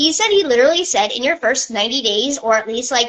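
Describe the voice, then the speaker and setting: With an animated tone and lively intonation, a woman speaks at a fairly quick pace. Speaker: travel business owner doing an Instagram live. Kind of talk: casual live stream chat. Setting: social media live video. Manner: fast.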